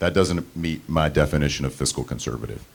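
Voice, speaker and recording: Vocal fry runs through this man's very deep, low voice. He speaks at a fairly quick pace with ordinary pitch variation. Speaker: trustee candidate, marine reserve officer. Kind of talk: campaign speech. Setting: candidate forum with audience.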